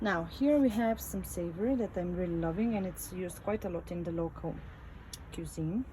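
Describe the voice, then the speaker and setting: At a moderate pace, a woman with a non-native accent speaks with ordinary pitch variation. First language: not English. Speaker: home gardener, channel owner. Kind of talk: garden tour video. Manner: halting, frequent fillers.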